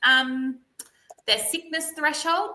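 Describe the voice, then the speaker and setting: The speaker is a woman with an Australian accent. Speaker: parent advocate. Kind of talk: webinar presentation. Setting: live webinar. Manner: loud; animated.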